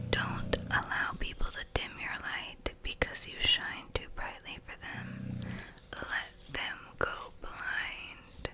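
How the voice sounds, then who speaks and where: The words come in a whisper, very slowly. There is noticeable background noise. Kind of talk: ASMR soft-spoken talk and quote reading. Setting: home recording, close mic. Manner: soft-spoken, whispered.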